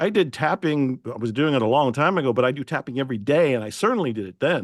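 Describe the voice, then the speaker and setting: Speaking very fast in a medium pitch, a man uses lively intonation on a very clean recording with a silent background. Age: 70s. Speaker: self-help author. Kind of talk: interview. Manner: animated.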